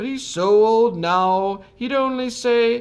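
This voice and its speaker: A man puts on a character voice at an extremely high pitch, speaking at a fairly slow pace. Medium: read story.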